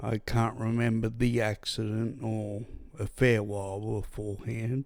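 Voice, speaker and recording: Very slow speech from a medium-pitched man with an Australian accent, on a very clean recording with a silent background. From Australia, New South Wales. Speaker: podcast host, brain injury survivor. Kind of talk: personal testimony. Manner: impaired speech after brain injury.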